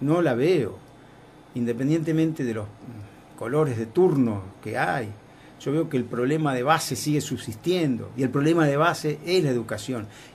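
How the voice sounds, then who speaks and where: Room echo can be heard as a man speaks at a moderate pace in a fairly high pitch. His voice is somewhat breathy, with ordinary pitch variation. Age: 60s. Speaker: foundation director. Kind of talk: radio interview.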